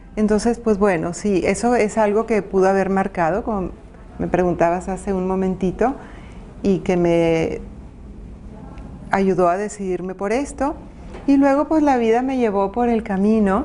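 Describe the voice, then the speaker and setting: The speech moves at a fairly slow pace with long, frequent pauses and ordinary pitch variation, set against noticeable background noise. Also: woman, medium pitch for a woman. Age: 60s. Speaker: women's advocate and former city councillor. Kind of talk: interview.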